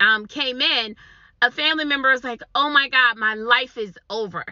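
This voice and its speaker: Energetic and high-pitched, a woman speaks at a moderate pace. Her pitch moves with ordinary variation. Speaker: online business coach. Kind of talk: motivational talk to camera.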